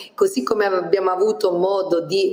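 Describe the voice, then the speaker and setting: Noticeable background noise sits behind a woman talking at a moderate pace. Her pitch is medium, with ordinary pitch variation. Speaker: regional councillor. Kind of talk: political interview. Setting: video call. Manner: formal.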